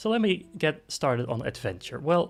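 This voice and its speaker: Speaking in a Dutch accent at a moderate pace, the voice makes very wide pitch swings. The recording is very clean, with a silent background. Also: man. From Netherlands. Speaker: vtuber. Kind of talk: self-introduction stream. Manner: casual, hesitant with fillers.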